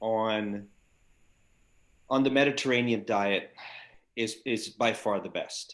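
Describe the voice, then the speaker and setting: A man's bright, sharp voice at a medium pitch, with ordinary pitch variation and a fairly slow pace, in a very clean recording with a silent background. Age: 60s. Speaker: doctor. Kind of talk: interview. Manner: animated.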